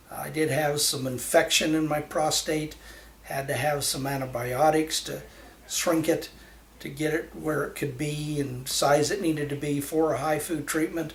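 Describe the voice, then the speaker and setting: Amid noticeable background noise and audible room echo, a man with a fairly high voice speaks with monotone, flat intonation. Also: moderate pace. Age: 60s. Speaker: patient. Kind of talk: testimony. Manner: halting.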